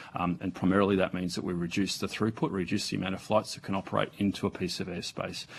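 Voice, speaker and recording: A man with an Australian accent speaks at fairly low pitch. His pace is very fast. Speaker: aviation agency executive. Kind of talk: parliamentary testimony. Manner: soft-spoken; halting. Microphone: too far from microphone.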